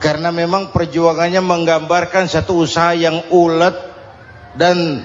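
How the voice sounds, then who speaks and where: Noticeable background noise runs behind this recording. A man speaks at a high pitch and a fairly slow pace. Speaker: Islamic preacher. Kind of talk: humorous Islamic sermon to a congregation. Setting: old recording of a live sermon. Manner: relaxed, firm, humorous.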